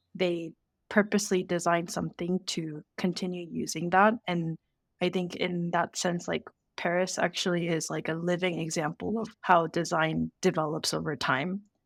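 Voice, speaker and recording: A woman's fairly low, monotone, flat voice with vocal fry and an American accent, at a moderate pace, dry and close with no echo, in a very clean recording with a silent background. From South Korea, then US from age 11. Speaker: product designer. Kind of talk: interview. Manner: casual with many fillers.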